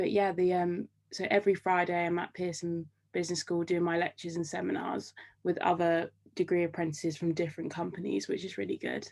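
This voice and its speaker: A woman with a British accent speaks at a fairly low pitch. She talks at a fairly quick pace in a flat monotone. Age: 20s. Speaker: degree apprentice. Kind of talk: casual interview. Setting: video call.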